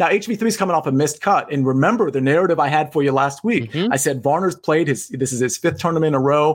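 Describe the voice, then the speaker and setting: A man with a normal speaking voice, fairly high in pitch, at a fairly quick pace with ordinary pitch variation. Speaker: podcast co-host, sports betting analyst.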